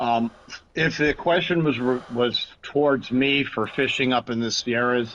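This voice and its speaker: The speech comes at a fairly slow pace with fairly even intonation over noticeable background noise. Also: man, medium pitch for a man. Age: 60s. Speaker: channel moderator. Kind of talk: casual chat.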